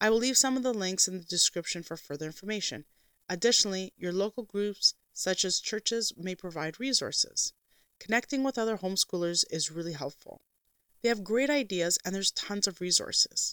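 A woman's unremarkable speaking voice, medium in pitch, with lively intonation at a fairly quick pace, in a dry, close sound with no echo. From Canada. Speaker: podcast host, homeschooling mother. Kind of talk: scripted monologue.

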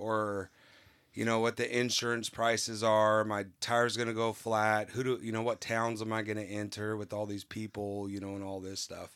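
A man with an American accent talks at a moderate pace in a fairly low pitch, his intonation monotone and flat. The recording is very clean, with a silent background. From California. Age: 40s. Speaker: novice liveaboard sailor. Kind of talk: casual interview, storytelling. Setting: aboard a sailboat.

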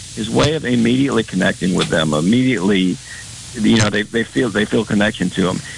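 Noticeable background noise runs under the recording. A man speaks very fast at a fairly low pitch. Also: lively intonation. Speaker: college arts program representative. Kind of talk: casual interview chat. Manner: halting, hesitant.

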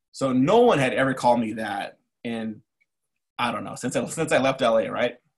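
At a moderate speed and with fairly even intonation, an unremarkable speaking voice talks. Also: man, medium pitch for a man. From East Los Angeles, California. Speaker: army veteran. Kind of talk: casual interview.

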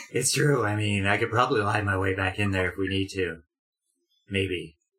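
A man's raspy, put-on character voice, fairly low in pitch, with fairly even intonation and a moderate pace. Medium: actual play. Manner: blunt, hasty.

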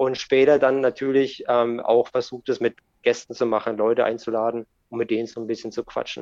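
Moderately paced speech in a monotone with flat intonation, broken by long, frequent pauses, is heard in a dry, close sound with no echo. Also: man. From Germany, bilingual with American parent. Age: 30s. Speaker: skateboard YouTuber and podcaster. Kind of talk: casual chat.

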